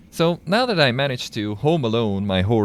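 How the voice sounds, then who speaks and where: A man speaks in a Hungarian accent with lively intonation and a moderate pace. The recording is very clean, with a silent background. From Hungary. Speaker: video game streamer. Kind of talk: live gameplay commentary.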